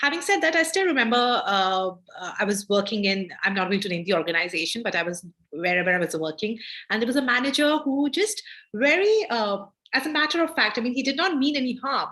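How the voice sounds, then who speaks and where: In an Indian accent, a woman races along at a very fast pace, her bright, sharp tone set at a fairly high pitch with very wide pitch swings. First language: not English (Indian language). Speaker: gender justice lawyer. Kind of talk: guest lecture Q&A. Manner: halting, many fillers.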